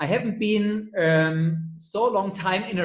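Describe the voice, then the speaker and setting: Heard with noticeable background noise and audible room echo, a high-pitched man talks at a fairly slow pace. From Germany, near Heidelberg (Leimen). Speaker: dentist. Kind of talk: interview. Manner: halting, many fillers.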